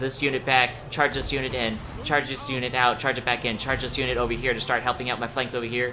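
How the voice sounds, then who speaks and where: Over music in the background, a man talks at a very fast pace with a medium pitch. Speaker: video game commentator. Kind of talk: gameplay commentary. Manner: casual, conversational.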